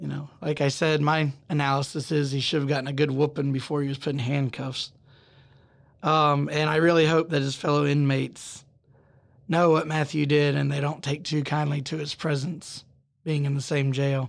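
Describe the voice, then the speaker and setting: With a Southern US accent, a man speaks at a moderate pace in a fairly high pitch and a monotone, flat intonation. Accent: Southern American. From US South. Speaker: true crime podcast host, criminal defense attorney. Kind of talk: true crime storytelling. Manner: casual, joking.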